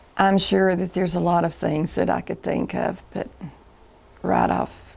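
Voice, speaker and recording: A woman with a Southern US accent at a moderate pace. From US South, Chattanooga, Tennessee. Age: 70s. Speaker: interviewee recording life story. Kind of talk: oral history interview. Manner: halting.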